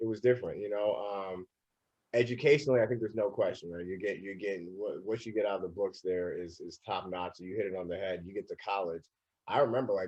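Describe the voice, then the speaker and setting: A man with a St. Louis accent, a fairly low pitch and a dark, mellow tone, at a very fast pace. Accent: US Midwest, St. Louis. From St. Louis, Missouri (north county). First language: Twi or other Ghanaian language. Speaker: arts organization president. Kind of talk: casual chat. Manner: halting, many repetitions.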